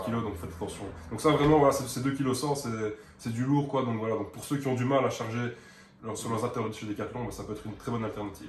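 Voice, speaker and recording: A man with a Liège accent talks at a very fast clip in a medium pitch, his intonation fairly even over noticeable background noise. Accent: Belgian (Liège). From Belgium (Liège). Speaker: gym enthusiast. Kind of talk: casual product talk to camera.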